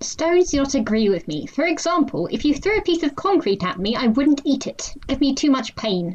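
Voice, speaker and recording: A female-sounding voice with a high pitch performs a put-on character voice. Its tone is deadpan. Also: fairly quick pace, hardly any pauses. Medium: read story. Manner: formal, literal, deadpan.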